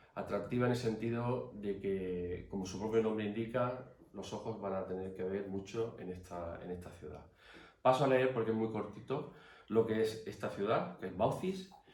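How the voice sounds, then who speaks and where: In a room with audible echo, a man with a fairly low voice speaks at a moderate pace with ordinary pitch variation. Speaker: artist and academy member giving a talk. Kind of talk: formal talk. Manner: hesitant.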